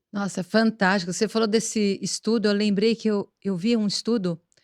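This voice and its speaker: A woman talks at a moderate pace and medium pitch, her intonation monotone and flat. The recording is very clean with a silent background and a dry, close sound with no echo. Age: 60s. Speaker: podcast host and plastic surgeon. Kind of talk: interview podcast chat.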